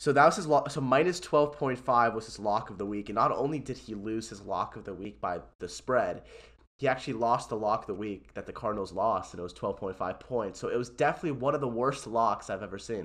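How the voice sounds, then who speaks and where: Against a quiet background, a man with an unremarkable speaking voice talks at medium pitch and a fairly quick pace, with big swings in loudness. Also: ordinary pitch variation. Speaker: podcast host. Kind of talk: casual banter podcast chat. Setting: remote recording.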